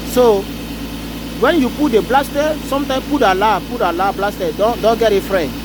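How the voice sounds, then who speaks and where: Noticeable background noise sits behind a man's high-pitched voice. He talks at a moderate pace with lively intonation. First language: French. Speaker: car repair tip vlogger. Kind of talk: casual tutorial. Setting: in a car. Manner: halting.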